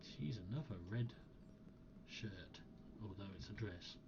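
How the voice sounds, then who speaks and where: A man speaks quietly and at a fairly slow pace, his pitch fairly low, with ordinary pitch variation. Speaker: gaming video narrator. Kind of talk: gameplay commentary. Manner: quiet, hushed.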